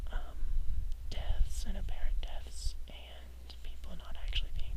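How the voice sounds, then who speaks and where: Fairly slow whispering comes through noticeable background noise. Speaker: whisper video creator, English major. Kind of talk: whispered casual talk to camera. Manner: whispered; hesitant, many filler words.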